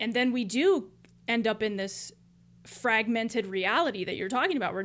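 A woman with an American accent has an ordinary speaking voice, fairly high in pitch, at a moderate pace. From US. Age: 20s. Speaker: podcast co-host. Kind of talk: casual chat.

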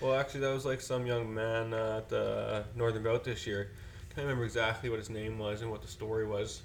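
In a room with audible echo, a man talks at a fairly quick pace and medium pitch, his intonation monotone and flat. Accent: western Canadian. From Fort McMurray, Alberta, Canada. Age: 20s. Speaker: pro freestyle motocross rider. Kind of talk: casual chat.

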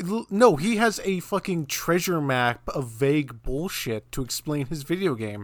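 A man's fairly high voice with an American accent, fairly slow yet with hardly any pauses and very wide pitch swings, on a very clean recording with a silent background. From US South, South Carolina. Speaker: podcast host. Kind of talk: casual chat.

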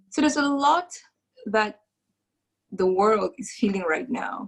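A woman speaks at a fairly high pitch with ordinary variation. Her voice is somewhat breathy. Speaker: podcast host. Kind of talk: casual interview. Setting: video call.

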